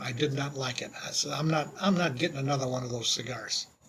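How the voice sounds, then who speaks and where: Over noticeable background noise, a man with a fairly high pitch talks with fairly even intonation. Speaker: cigar reviewer. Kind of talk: casual video monologue. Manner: loud.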